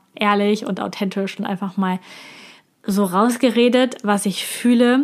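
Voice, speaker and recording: At a moderate pace, a woman speaks at a medium pitch in a monotone with flat intonation. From Germany. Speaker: podcast host, business coach. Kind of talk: solo monologue, personal review.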